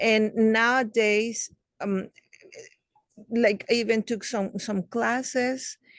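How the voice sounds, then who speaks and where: A woman with a Spanish accent speaks at a very slow pace in a fairly high pitch, with monotone, flat intonation. Long, frequent pauses break up her speech, and the sound is dry and close with no echo. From Mexico. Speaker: children's book author. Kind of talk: interview. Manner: halting, many fillers.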